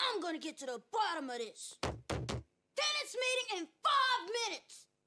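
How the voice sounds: This is a cartoonish character voice at an extremely high pitch, with very wide pitch swings. It moves along at a moderate pace.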